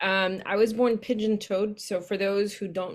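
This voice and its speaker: A woman speaks at a moderate pace with fairly even intonation. The recording is very clean, with a silent background. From San Diego, California. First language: Spanish. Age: 30s. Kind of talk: interview, personal life story.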